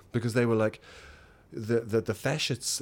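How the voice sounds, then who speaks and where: Speaking at a very fast pace, a man of medium pitch talks with a New Zealand accent. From New Zealand, small town in the Wairarapa. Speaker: theatre teacher and mask trainer. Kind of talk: interview. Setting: home studio in an apartment.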